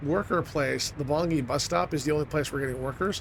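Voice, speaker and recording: The speech comes at a very fast pace with ordinary pitch variation. Noticeable background noise is present. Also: man. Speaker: video game streamer. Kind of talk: gameplay commentary.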